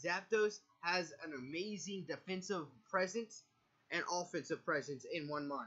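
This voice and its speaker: A man talks with a high pitch. His pace is moderate and his pitch variation ordinary. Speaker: Pokemon competitive player and video creator. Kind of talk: game strategy commentary. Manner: halting, stumbles over words.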